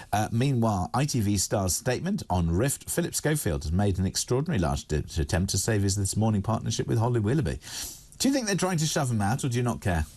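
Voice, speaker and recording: At a very fast pace, a somewhat breathy voice keeps very even loudness while its pitch swings very widely over a quiet background. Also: man, fairly low pitch for a man. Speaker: radio and TV presenter. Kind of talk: live news discussion, paper review.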